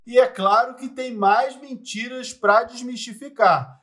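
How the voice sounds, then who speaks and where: A voice with ordinary pitch variation comes through noticeable background noise. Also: man. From Rio de Janeiro, Brazil. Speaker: investment analyst and podcast host. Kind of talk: scripted educational podcast.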